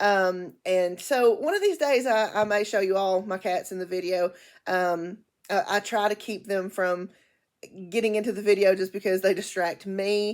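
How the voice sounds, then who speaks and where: A woman's voice at a moderate pace, medium in pitch, with fairly even intonation. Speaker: book vlogger. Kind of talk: casual chat. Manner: loud; halting.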